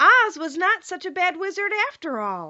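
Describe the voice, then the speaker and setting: Squeaky and extremely high-pitched, a woman performs a put-on character voice. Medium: read story.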